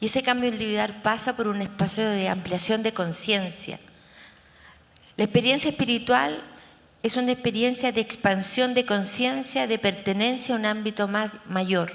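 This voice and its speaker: Her pitch fairly high, a woman speaks at a moderate pace with ordinary pitch variation in an unremarkable speaking voice. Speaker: therapist and researcher. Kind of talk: conference talk.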